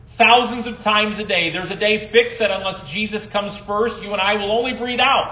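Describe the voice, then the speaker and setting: Over noticeable background noise and audible room echo, a man talks in a high-pitched voice. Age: 40s. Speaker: pastor. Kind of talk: sermon. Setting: church.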